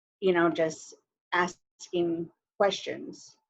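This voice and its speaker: In a Navajo Nation accent, a woman speaks very slowly at a fairly low pitch. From northern Arizona, Navajo reservation area. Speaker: panelist. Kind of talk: casual chat.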